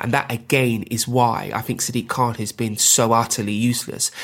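Speaking in a London accent, a man keeps a medium pitch and a monotone, flat intonation at a moderate pace. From London, North Kensington. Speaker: politician. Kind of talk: interview. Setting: at home, remote interview.

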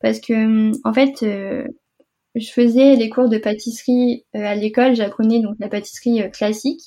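A woman with a fairly high pitch speaks in a dark, mellow tone. Her delivery is fairly slow, with monotone, flat intonation. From Normandy, France. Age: 20s. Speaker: food photographer and entrepreneur. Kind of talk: casual interview. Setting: remote recording.

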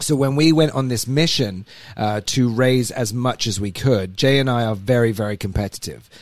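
A man talks in an English accent at a moderate pace. His pitch is medium, with ordinary variation. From England. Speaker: podcast host. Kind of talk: casual chat. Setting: studio.

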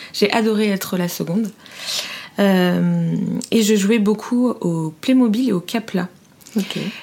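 Over noticeable background noise, a woman with a medium pitch speaks at a very slow pace with fairly even intonation and long, frequent pauses. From France, Fontainebleau area. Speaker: entrepreneur, brand founder. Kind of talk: interview. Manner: halting, many fillers.

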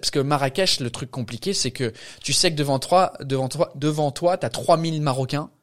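Fairly slow speech from a man with an English accent, fairly high pitch and ordinary pitch variation. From England. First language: English (speaking French). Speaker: stand-up comedian. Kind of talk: casual chat.

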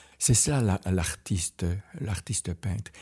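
Very deep, low male voice at a very slow pace, somewhat breathy with a dark, mellow tone and ordinary pitch variation, on a very clean recording with a silent background and a dry, close sound with no echo. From Belgian Ardennes. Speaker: painter. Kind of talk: interview. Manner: halting.

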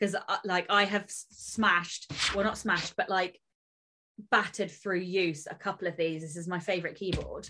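A woman's bright, sharp voice in an English accent, with monotone, flat intonation. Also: medium pitch for a woman, moderate pace. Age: 30s. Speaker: podcast co-host, author. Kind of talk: casual chat.

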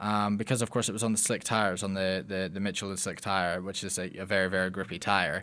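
A man with a Scottish accent speaks at a very fast clip in a fairly low pitch, his bright, sharp tone flat and monotone, with hardly any pauses on a very clean recording over a silent background. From Scotland, Lockerbie. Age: young. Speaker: racing driver. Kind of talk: interview.

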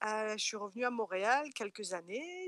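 A woman at a very slow pace in a dry, close sound with no echo. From France. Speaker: interviewee. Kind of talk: casual chat. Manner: hesitant, repeats words.

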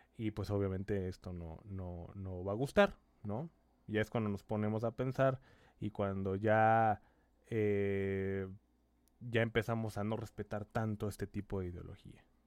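A man talks at a fairly slow pace with fairly even intonation and a fairly low pitch. The recording is very clean, with a silent background. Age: 30s. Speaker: doctor and commentary channel host. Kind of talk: opinion commentary monologue. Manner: halting, many fillers and repetitions.

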